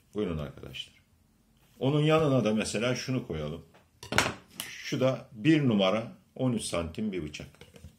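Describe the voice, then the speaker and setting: A man with a fairly low pitch talks at a fairly slow pace, his voice making very wide pitch swings over noticeable background noise. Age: 50s. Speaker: leather craftsman. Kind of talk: product demonstration. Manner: halting. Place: home room. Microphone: phone near.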